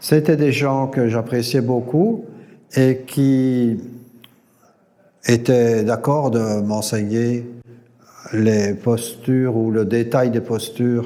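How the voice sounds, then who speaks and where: At a very slow pace, a man of medium pitch talks with fairly even intonation. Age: 70s. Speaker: yoga teacher trainer. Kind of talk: interview testimony. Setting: recorded at a yoga gathering. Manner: halting, many hesitations and repetitions.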